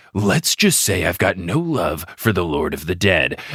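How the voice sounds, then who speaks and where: Lively in intonation, a put-on character voice moves at a moderate pace. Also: man, very deep, low pitch for a man. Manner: cool, confident.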